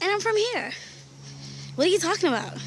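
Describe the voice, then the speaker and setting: A woman's pitch swings very widely. Noticeable noise runs in the background. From Bahamas. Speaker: vlogger. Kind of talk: casual vlog. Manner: animated.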